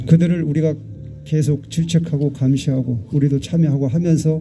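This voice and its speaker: Over music in the background, a man with a fairly high pitch speaks fairly slowly, his pitch varying in an ordinary way. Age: 60s. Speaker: calligrapher and activist. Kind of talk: public speech at memorial rally. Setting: outdoor candlelight vigil.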